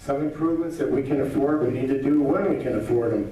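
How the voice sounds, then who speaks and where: Noticeable background noise and audible room echo surround a man speaking at a very fast pace in a fairly high pitch. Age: 60s. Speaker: political candidate. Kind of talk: campaign speech. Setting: candidate forum with audience.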